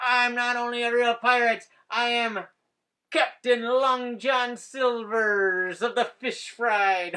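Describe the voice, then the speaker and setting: A put-on character voice with a fairly high pitch moves at a fairly slow pace. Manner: boastful.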